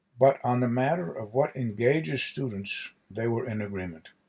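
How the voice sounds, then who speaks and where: Lively intonation marks this man's medium-pitched, somewhat breathy voice. He keeps a moderate pace. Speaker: author. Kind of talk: audiobook reading of nonfiction.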